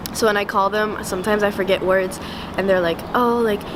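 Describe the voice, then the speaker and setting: With a French accent, the speaker goes at a moderate pace against noticeable background noise. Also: woman. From France. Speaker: art student. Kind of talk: casual personal reflection. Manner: hesitant, many fillers.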